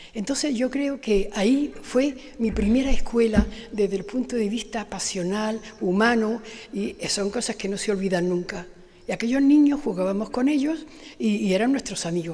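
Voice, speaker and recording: A woman speaks at a moderate pace with lively intonation. Background noise is noticeable. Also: fairly high pitch for a woman. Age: 80s+. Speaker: award-winning author. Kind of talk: acceptance speech. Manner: halting.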